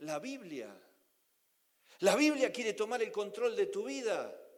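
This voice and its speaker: Moderate pace, with audible room echo. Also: man. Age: 60s. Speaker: preacher. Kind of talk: sermon.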